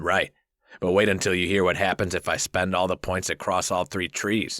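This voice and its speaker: In a put-on character voice, a man speaks at a moderate pace with a very deep, low, raspy pitch and monotone, flat intonation, captured with a dry, close sound with no echo on a very clean recording with a silent background. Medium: read story. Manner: confident, playful.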